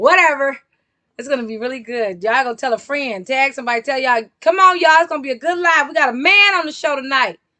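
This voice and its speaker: A raised, projected voice, bright and sharp in tone, animated, with lively intonation and a very fast pace. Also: woman, high pitch for a woman. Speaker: live stream talk show host. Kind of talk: casual live stream chat. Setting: live stream. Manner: loud.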